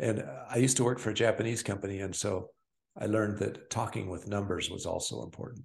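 A man talks at a very fast pace against a quiet background. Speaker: podcast co-host. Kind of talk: casual podcast conversation.

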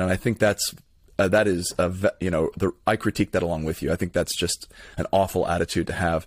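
A man's very deep, low voice with an American accent, at a fairly quick pace with ordinary pitch variation, in a dry, close sound with no echo. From Florida, Tampa area. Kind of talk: casual interview conversation.

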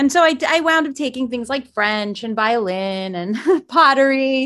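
A woman with an American accent speaks at a fairly slow pace in a plain, everyday voice. Her pitch varies in an ordinary way. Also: very clean recording, silent background. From South Florida, US. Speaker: mindfulness teacher. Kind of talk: interview.

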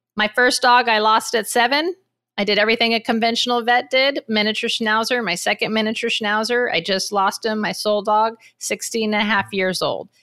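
A woman speaks at a fairly quick clip in a fairly high, bright and sharp voice with an animated tone, on a very clean recording with a silent background. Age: 50s. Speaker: podcast host. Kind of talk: casual interview chat.

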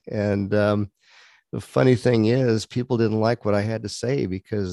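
A man's dark, mellow voice at fairly low pitch, with ordinary pitch variation and a moderate pace, in a very clean recording with a silent background and dry, close sound with no echo. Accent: Texan. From Texas. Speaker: pastor and police chaplain. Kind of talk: interview conversation. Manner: halting.

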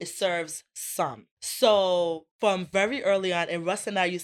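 In a Rhode Island accent, a woman speaks at a fairly low pitch in an animated tone with ordinary pitch variation. The recording is very clean, with a silent background. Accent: Rhode Island American. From Providence, Rhode Island, US. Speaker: motivational speaker and entrepreneur. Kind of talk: casual interview.

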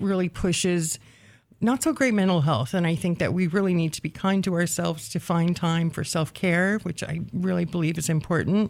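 The speaker has an ordinary speaking voice with ordinary pitch variation. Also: woman. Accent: American. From rural western Oregon, US. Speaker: history graduate, researcher. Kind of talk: interview. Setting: radio studio.

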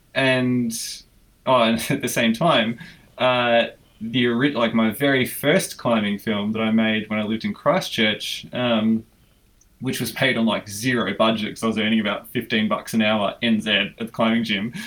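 Fairly even intonation and a moderate pace in a man's voice of medium pitch. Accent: Australian. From Australia (Melbourne). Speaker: filmmaker. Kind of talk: casual interview.

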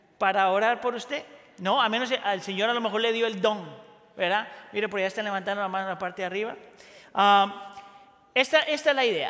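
Speaking in a raised, projected voice, a man with a high pitch moves at a fairly quick pace, with ordinary pitch variation and long, frequent pauses. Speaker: pastor. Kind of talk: sermon. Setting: church.

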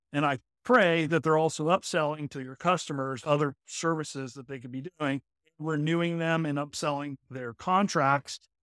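A man with an ordinary speaking voice, fairly high pitch, fairly even intonation, big swings in loudness and a moderate pace, in a very clean recording with a silent background. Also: dry, close sound with no echo. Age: 40s. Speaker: talent acquisition consultant. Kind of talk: interview.

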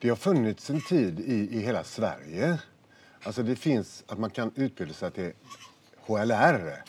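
Speaking at a fairly slow pace, a man with a medium pitch swings his pitch very widely. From Gothenburg, Sweden. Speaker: retired firefighter and lecturer. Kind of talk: casual interview over lunch. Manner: halting.

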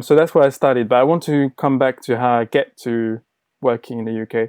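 A man's medium-pitched voice at a fairly quick pace with fairly even intonation, dry and close with no echo, in a very clean recording with a silent background. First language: not English. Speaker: designer, former agency owner. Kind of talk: interview.

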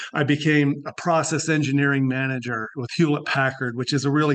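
This man has an ordinary speaking voice. He goes at a fairly quick pace with fairly even intonation. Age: 60s. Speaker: life coach. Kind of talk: casual chat.

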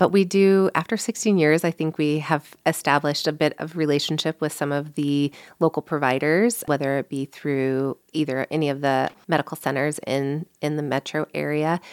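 A woman with an American accent speaks at a moderate pace in a very deep, low voice, with fairly even intonation and hardly any pauses, in a dry, close recording with no echo that is very clean against a silent background. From US Midwest, St. Louis, Missouri. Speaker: physical therapist and clinic owner. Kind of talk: casual interview. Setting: studio.

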